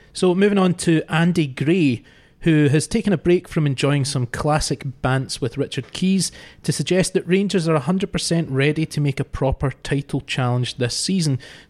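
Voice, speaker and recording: In an ordinary speaking voice, a man talks at a moderate pace with a fairly high pitch, ordinary pitch variation and very even loudness, the sound dry and close with no echo. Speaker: podcast host. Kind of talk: sports podcast discussion, presenting.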